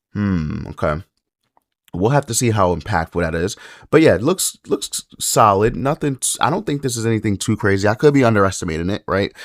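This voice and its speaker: Quiet and fairly low in pitch, a man speaks at a fairly quick pace with lively intonation, in a very clean recording with a silent background and a dry, close sound with no echo. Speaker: mobile game YouTuber. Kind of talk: game unit review commentary. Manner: quiet, subdued.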